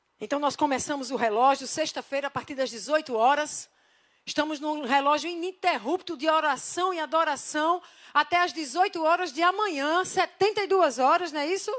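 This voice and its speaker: On a very clean recording with a silent background, a woman speaks at a fairly quick pace in a high pitch. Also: ordinary pitch variation. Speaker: pastor. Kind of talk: sermon. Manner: fast; animated.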